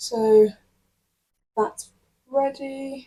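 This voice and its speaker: A woman speaks with an English accent. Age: 20s. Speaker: university student and vlogger. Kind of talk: casual vlog narration. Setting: library study room. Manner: whispering in the library.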